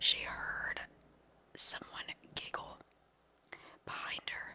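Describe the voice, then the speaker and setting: A woman is whispering, and there is noticeable background noise behind her. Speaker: ASMR creator. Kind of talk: whispered paranormal storytelling. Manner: whispered, soft-spoken.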